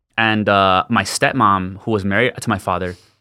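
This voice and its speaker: With a bright, sharp tone and fairly even intonation, a man speaks at a fairly quick pace in a fairly low pitch. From El Paso, Texas. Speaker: hardcore band guitarist. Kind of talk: casual chat. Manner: halting.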